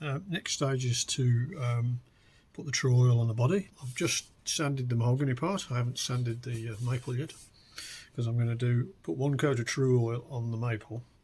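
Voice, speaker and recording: The speaker is somewhat breathy. Pace is moderate, with ordinary pitch variation. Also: man, medium pitch for a man. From West Midlands of England. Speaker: hobbyist guitar builder. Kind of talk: casual DIY talk to camera. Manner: hesitant, conversational.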